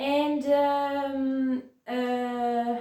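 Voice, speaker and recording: A woman's high-pitched voice with audible room echo. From Italy, Florence. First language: Italian. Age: 20s. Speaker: vlogger with chronic pain. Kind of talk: personal testimony vlog. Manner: hesitant, many fillers.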